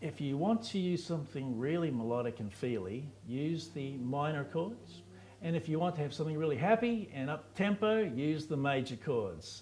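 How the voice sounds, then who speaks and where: In a New Zealand accent, a somewhat breathy voice moves at a moderate pace with very wide pitch swings and hardly any pauses. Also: man, fairly high pitch for a man. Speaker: guitarist and guitar teacher. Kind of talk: casual interview with guitar tips.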